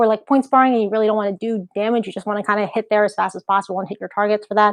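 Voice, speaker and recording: A woman with an American accent, flat and monotone, dry and close with no echo, over a quiet background. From USA, Filipino heritage. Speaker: martial arts instructor. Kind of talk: live-streamed kicking tutorial. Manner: fast; casual, filler-heavy. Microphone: laptop audio, some echo.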